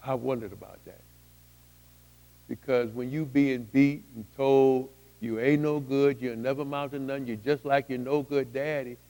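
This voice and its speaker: A man speaks at a moderate pace and a medium pitch, with monotone, flat intonation. His tone is dark and mellow, and his loudness swings widely. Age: 60s. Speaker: testimony speaker. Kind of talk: testimony. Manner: halting.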